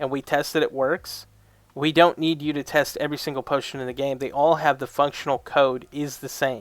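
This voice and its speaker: A man's fairly high-pitched voice at a moderate pace, on a very clean recording with a silent background. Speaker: reaction video creator. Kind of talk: reaction commentary. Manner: loud, yelling; animated.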